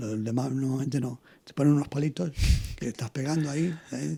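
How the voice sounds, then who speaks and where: A man with a fairly high pitch and a dark, mellow tone, somewhat breathy, at a moderate pace with fairly even intonation. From Spain, Toledo (born in Canary Islands). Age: 70s. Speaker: former boxer and trainer. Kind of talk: interview. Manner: halting.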